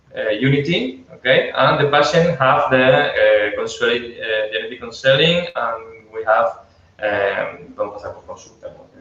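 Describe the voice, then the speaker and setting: A man with a Spanish accent and big swings in loudness, amid noticeable background noise. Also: moderate pace. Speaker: geneticist. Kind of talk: webinar Q&A. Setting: online webinar. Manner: halting.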